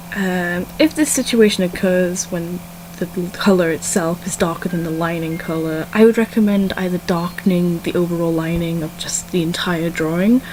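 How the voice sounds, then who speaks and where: A woman speaks at a moderate pace in a fairly low voice with fairly even intonation, over noticeable background noise. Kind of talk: casual art critique talk to viewers. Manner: stumbly, awkward, mumbles at times.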